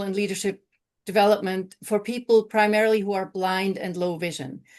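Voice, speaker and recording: This woman has an unremarkable speaking voice, fairly high in pitch with fairly even intonation. She talks at a moderate pace against a quiet background. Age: 60s. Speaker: training director. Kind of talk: webinar panel introduction. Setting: video call.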